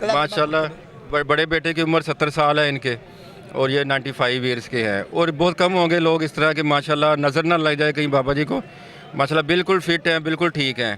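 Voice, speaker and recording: Noticeable background noise surrounds speech with ordinary pitch variation. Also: man, fairly high pitch for a man. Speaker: vlogger, interviewer. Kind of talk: casual talk to camera.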